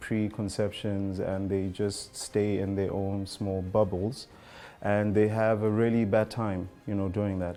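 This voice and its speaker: With music in the background, a man talks at a fairly slow pace. His fairly low voice is flat and monotone. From South Africa. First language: a South African language (Ubuntu word). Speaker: language teacher. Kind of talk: interview testimony.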